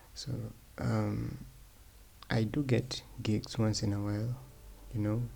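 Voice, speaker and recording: Mumbled speech at a fairly slow pace. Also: man. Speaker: 3D artist and tutorial creator. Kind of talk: casual vlog monologue. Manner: mumbling; halting, many fillers.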